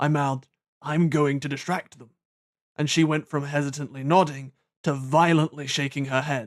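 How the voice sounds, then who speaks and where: A man with a British accent, fairly high pitch and monotone, flat intonation. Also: moderate pace, very clean recording, silent background. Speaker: audiobook narrator. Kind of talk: audiobook narration of a fantasy novel.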